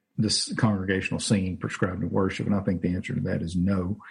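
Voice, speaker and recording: This man's voice sits fairly low and comes out somewhat breathy. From Louisiana, US South. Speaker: pastor. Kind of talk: casual chat. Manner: halting, many fillers.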